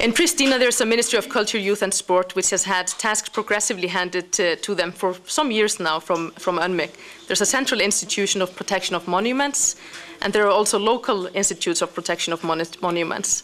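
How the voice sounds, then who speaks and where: Rushing at a very fast pace over noticeable background noise, a woman speaks at a medium pitch with ordinary pitch variation. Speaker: international organization representative. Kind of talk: conference speech.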